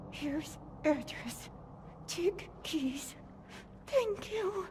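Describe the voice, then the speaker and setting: A woman uses a put-on character voice at an extremely high pitch. She speaks very slowly over clear background noise. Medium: video game. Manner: halting, fragmented speech.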